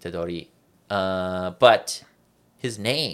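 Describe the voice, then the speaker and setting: This man has an unremarkable speaking voice with a Canadian accent, a fairly low pitch and ordinary pitch variation. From Canada. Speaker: anime podcast co-host. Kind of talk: casual chat.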